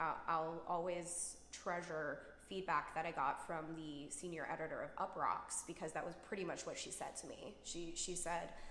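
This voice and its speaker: A woman with a plain, everyday voice, fairly low in pitch, at a moderate pace. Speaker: singer-songwriter. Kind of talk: interview answer.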